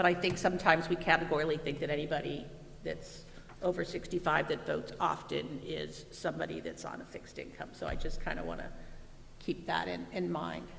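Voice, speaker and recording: The speech goes at a fairly quick pace, with noticeable background noise behind it. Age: 60s. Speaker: school board member. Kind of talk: board meeting discussion.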